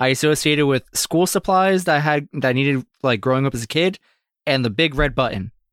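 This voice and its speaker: Recorded very cleanly with a silent background and a dry, close sound with no echo, a man with a plain, everyday voice talks fairly quickly at a fairly high pitch with ordinary pitch variation. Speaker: podcast co-host. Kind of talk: casual chat among friends. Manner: joking, laughs often.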